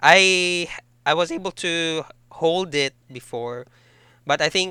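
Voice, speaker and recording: Speaking at a very slow pace, a man with a bright, sharp tone uses ordinary pitch variation. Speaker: English tutor. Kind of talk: online English lesson conversation.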